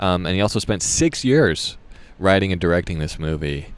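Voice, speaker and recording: With an American accent, a man with a very deep, low pitch speaks at a moderate pace using lively intonation. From US West Coast. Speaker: actor. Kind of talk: casual vlog monologue. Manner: halting, many fillers.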